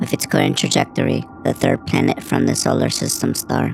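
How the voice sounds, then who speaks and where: A man's put-on character voice at a fairly quick pace, over clear background noise. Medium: audio drama. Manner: clipped, mechanical.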